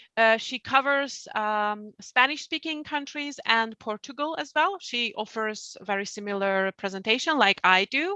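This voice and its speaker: Lively intonation in a Hungarian accent, at a fairly slow pace with hardly any pauses, in a dry, close sound with no echo and a quiet background. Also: woman, fairly high pitch for a woman. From Hungary. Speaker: publishing outreach staff, presenter. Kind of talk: webinar presentation. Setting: online webinar.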